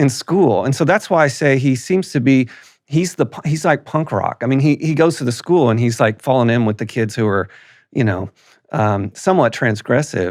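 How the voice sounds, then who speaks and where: Recorded very cleanly over a silent background, a man with a plain, everyday voice talks at a moderate pace and medium pitch with lively intonation. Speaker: professor and podcast host. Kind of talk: podcast interview questions.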